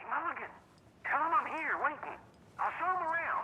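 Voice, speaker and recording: Someone uses a put-on character voice with an extremely high pitch at a fairly quick pace. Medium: video game. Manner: gruff, blunt.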